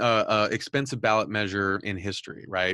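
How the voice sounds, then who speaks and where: A man with an American accent speaks in a normal speaking voice at medium pitch and a moderate pace, the sound dry and close with no echo. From Southern California. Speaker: podcast host and news editor. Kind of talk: interview.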